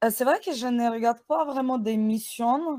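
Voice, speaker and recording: A woman with a dark, mellow tone speaks at a fairly high pitch with ordinary pitch variation, the sound dry and close with no echo. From Ukraine. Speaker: web and mobile developer, agency founder. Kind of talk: interview.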